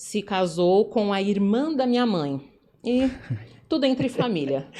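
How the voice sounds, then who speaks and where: A woman with a São Paulo accent at a very slow pace. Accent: São Paulo Brazilian Portuguese. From São Paulo, Brazil (Jabaquara, south zone). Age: 40s. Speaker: entrepreneur in events business. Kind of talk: life story interview.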